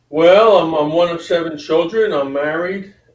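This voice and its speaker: In a plain, everyday voice, a man talks at a moderate pace with ordinary pitch variation. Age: 60s. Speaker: lawyer. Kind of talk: interview.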